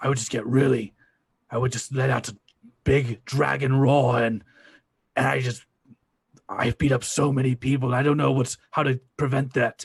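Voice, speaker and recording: A man puts on a raspy character voice at a medium pitch, moving at a moderate pace with long, frequent pauses. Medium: actual play. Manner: blunt, halting.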